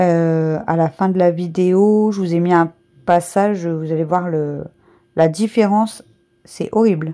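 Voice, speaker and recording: Very slowly, a woman speaks in a fairly low voice with a dark, mellow tone and fairly even intonation. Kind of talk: casual voice-over for a cleaning vlog. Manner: rambling, hesitant.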